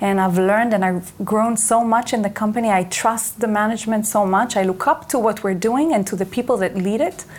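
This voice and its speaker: With an Israeli accent, a woman talks at a fairly quick pace, her pitch varying in an ordinary way. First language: Hebrew. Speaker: company executive. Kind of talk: interview.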